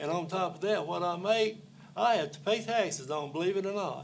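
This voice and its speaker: A man with a Southern US accent speaks at a high pitch and a moderate pace, with ordinary pitch variation. Room echo is audible. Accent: US South. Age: 70s. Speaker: public commenter. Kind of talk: public comment at council meeting. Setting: county council meeting.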